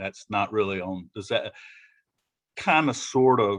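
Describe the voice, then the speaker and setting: The speaker has a Southern US accent. The pace is fairly slow. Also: man. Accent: Southern US (Georgia). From Georgia, US South. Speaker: business preparedness presenter. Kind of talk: presentation to business owners. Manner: halting, many fillers and repeats.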